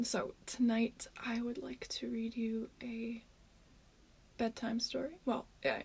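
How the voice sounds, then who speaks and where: A soft-spoken woman talks at a very slow pace in a relaxed tone. She takes long, frequent pauses. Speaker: ASMR creator. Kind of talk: ASMR bedtime story reading. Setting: echoey room, home recording. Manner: soft-spoken, relaxed.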